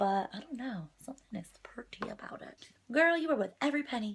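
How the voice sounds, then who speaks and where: Her pace is fairly quick. The woman's pitch swings very widely. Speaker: beauty vlogger. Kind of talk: makeup tutorial.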